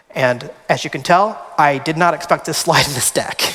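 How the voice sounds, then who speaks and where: The man talks at a moderate pace in a fairly high pitch. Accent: American. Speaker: researcher and panelist. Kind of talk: conference presentation.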